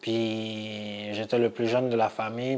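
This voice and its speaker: A man speaks with a non-native accent at a medium pitch, in a monotone, flat intonation. Noticeable background noise runs underneath. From immigrated as a child, grew up in Quebec. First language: not French (speaking French). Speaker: adult learner with low literacy. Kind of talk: personal testimony. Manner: halting.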